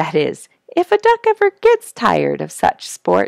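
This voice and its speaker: A woman's voice in a dry sound with no echo, against a quiet background. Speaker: storyteller reading a children's book. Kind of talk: read-aloud storytelling. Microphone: headset.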